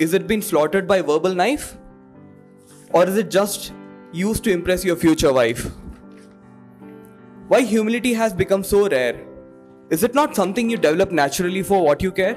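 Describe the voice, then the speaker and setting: Faint music plays in the background as a man talks in a high voice at a fairly quick pace. He takes long, frequent pauses. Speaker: spoken word poet. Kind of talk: spoken word poetry performance. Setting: live open mic, audience. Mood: earnest, reflective. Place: stage. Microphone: handheld.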